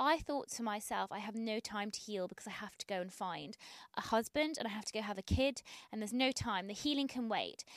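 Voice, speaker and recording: A woman speaks in an ordinary speaking voice with a fairly high pitch and ordinary pitch variation. She talks at a fairly quick pace, and the sound is dry and close with no echo. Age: 30s. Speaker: podcast guest. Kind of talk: casual chat.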